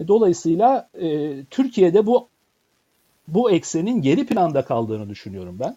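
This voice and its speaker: A man with a dark, mellow tone and a high pitch speaks fairly slowly over a quiet background, with very wide pitch swings and big swings in loudness. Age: 50s. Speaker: professor and author. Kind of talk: interview.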